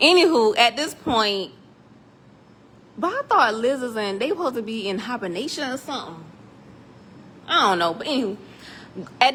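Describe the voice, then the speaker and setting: A woman speaks in an animated tone at a moderate pace, her high pitch swinging very widely, with long, frequent pauses. Noticeable background noise is present. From South Carolina, US South. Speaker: 3D printing tutorial maker. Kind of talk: tutorial. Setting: metal building workshop. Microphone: echoey room.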